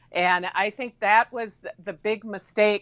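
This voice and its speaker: A woman speaks with an Upper Midwest accent against a quiet background. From Wisconsin (Somerset). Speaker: former state senator, political commentator. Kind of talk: political discussion panel. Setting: live stream. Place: home room.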